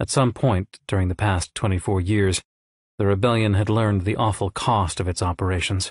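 Fairly even intonation marks an unforced reading voice over a quiet background.

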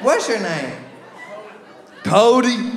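With audible room echo and faint crowd noise in the background, a man speaks at a very slow pace in a high pitch, making big pitch swings.

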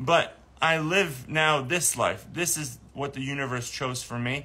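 Speaking at a fairly slow pace, a man uses a bright, sharp tone with ordinary pitch variation. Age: 30s. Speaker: animal sanctuary nonprofit founder. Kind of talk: livestream monologue. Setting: live stream video. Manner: halting, many repeated words; emotional, earnest. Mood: earnest, emotional update. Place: garden. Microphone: phone near.

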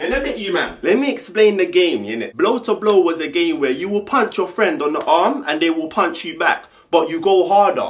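Someone with a London accent talks at a moderate pace with lively intonation. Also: man, high pitch for a man. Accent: London multicultural English. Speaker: YouTuber. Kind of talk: casual vlog monologue. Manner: animated. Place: home room. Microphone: camera far.

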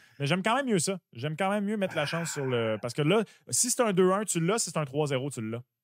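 A man speaks fairly quickly at a high pitch, his voice swinging very widely up and down. The sound is dry with no echo, and the background is quiet. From Quebec. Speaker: sports betting podcast co-host. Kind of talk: casual chat. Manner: animated. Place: home room. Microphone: studio mic.

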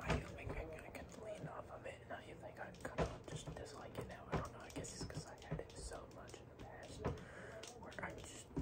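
A man whispers at a moderate pace amid noticeable background noise. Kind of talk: casual talk to camera. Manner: whispered, rambling.

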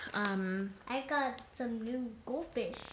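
Over noticeable background noise, a woman talks with ordinary pitch variation. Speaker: family vlogger. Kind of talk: casual vlog chat. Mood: relaxed, cheerful. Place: home room. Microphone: phone near.

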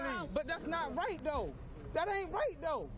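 A man speaks at a moderate pace with an extremely high pitch and ordinary pitch variation, over noticeable background noise. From Baltimore. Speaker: local resident. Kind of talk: street interview reaction. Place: street. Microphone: handheld.

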